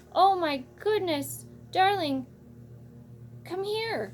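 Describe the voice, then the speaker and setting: An extremely high-pitched, put-on character voice speaks at a very slow pace. Clear background noise runs underneath. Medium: read story.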